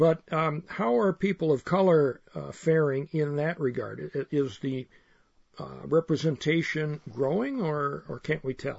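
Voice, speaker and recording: A somewhat breathy man at a fairly high pitch, talking at a fairly slow pace with ordinary pitch variation. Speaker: radio host. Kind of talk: radio interview. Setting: studio.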